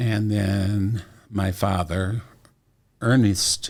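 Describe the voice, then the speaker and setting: A man speaks at a very deep, low pitch, somewhat breathy, with fairly even intonation. The recording is very clean, with a silent background. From Iowa, US Midwest. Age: 70s. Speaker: retired music teacher and singer. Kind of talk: interview.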